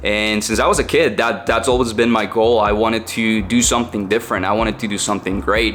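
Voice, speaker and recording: A man with a strong Mexican accent at a fairly quick pace, over noticeable background noise. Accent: heavy Mexican Spanish. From central Mexico. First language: Spanish. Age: 20s. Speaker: online entrepreneur, content creator. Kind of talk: personal story vlog. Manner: casual, with fillers.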